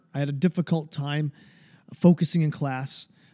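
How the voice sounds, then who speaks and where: With an American accent and a dark, mellow tone, the speaker talks at a moderate pace in a dry, close sound with no echo on a very clean recording with a silent background. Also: man. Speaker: podcast host. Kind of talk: confessional monologue. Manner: halting, filled with ums and repeats; anxious, emotional.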